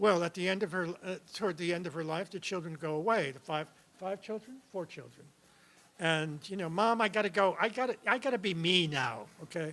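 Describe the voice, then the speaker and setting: A man talks at a fairly quick pace with a high pitch, ordinary pitch variation and a bright, sharp tone. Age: 70s. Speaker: writer. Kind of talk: onstage conversation. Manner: halting.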